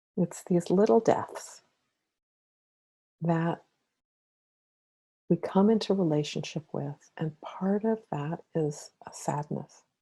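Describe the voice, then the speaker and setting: A woman with a dark, mellow, somewhat breathy voice speaks very slowly at a fairly low pitch, with ordinary pitch variation. Her loudness swings widely, and she takes long, frequent pauses. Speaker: spiritual counselor and meditation guide. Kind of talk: spiritual talk with guided meditation.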